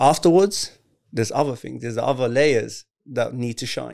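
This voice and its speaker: In a very clean recording with a silent background, a man with a normal speaking voice and a fairly high pitch talks at a moderate pace with ordinary pitch variation. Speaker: health practitioner. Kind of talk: casual chat.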